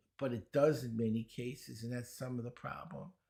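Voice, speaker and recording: In a Brooklyn accent, a man talks at a moderate pace with fairly even intonation. The recording is very clean, with a silent background. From New York, Brooklyn. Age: 70s. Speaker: speed reading teacher. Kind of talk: podcast interview.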